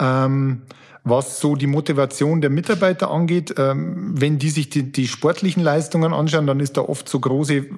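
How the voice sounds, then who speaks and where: A man with a fairly high pitch and ordinary pitch variation speaks over noticeable background noise. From Upper Palatinate, Bavaria (Amberg). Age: 40s. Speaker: banking executive and former endurance athlete. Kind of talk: interview.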